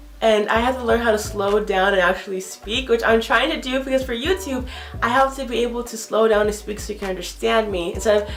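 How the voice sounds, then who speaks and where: A woman with an American accent talks at a fairly quick pace, with music in the background and audible room echo. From US, Nigerian parents. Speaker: YouTuber. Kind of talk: vlog monologue. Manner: fast, jumbles words.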